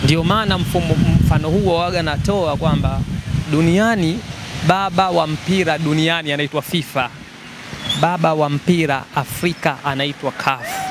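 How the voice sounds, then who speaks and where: With a Tanzanian accent, a man talks at a fairly slow pace and a fairly high pitch, his pitch varying in an ordinary way over noticeable background noise, the sound dry with no echo. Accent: Tanzanian Swahili. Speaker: football fan. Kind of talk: casual chat. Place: street. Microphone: handheld.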